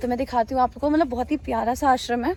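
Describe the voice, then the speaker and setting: A woman with a high-pitched voice speaks over noticeable background noise. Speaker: travel vlogger. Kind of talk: travel vlog. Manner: loud.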